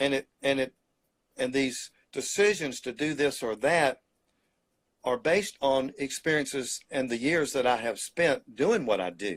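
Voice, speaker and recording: Speaking fairly slowly with a Mississippi accent, a man uses a fairly high pitch and lively intonation in a dry, close sound with no echo. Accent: Southern US, Mississippi. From US South, Mississippi Delta. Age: 70s. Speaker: painter. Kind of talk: interview.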